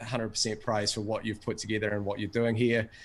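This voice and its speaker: A man with an Australian accent and a fairly low pitch is heard on a very clean recording with a silent background. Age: 40s. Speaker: course member giving testimonial. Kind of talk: testimony.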